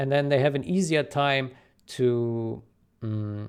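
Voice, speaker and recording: The recording is very clean, with a silent background. A man speaks with ordinary pitch variation. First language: not English. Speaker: video game modder and community commentator. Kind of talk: solo commentary video. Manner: halting, many fillers and repeats.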